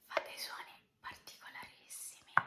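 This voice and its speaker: The speaker, a woman, is whispering. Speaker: ASMR creator. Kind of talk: ASMR whispering. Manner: whispered; soft-spoken.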